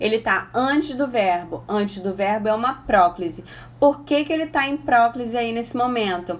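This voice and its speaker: A woman of fairly high pitch uses an ordinary speaking voice at a moderate pace with ordinary pitch variation. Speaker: Portuguese teacher for exam prep. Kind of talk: online exam-prep lesson. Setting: Instagram live stream.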